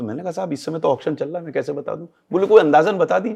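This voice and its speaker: The voice has a dark, mellow tone with vocal fry. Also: man. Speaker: retired civil servant. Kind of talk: interview. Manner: code-switching Hindi-English.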